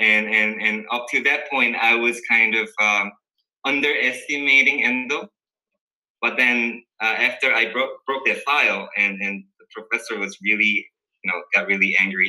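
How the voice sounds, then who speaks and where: At a moderate pace, a speaker with a Korean accent talks in a bright, sharp tone with ordinary pitch variation. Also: man, medium pitch for a man. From South Korea. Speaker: dental resident. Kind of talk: casual interview. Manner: halting, many fillers.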